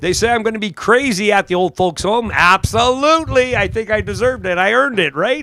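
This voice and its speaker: In a raised, projected voice, a high-pitched man speaks at a fairly quick pace with an animated tone and lively intonation. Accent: Canadian prairie. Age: 60s. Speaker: drag strip announcer. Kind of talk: live commentary.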